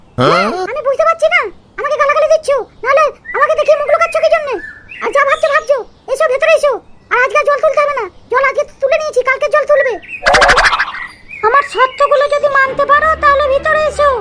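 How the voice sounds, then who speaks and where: Using a cartoonish character voice, a woman speaks at an extremely high pitch with ordinary pitch variation and a fairly quick pace. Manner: bossy, scolding, crude.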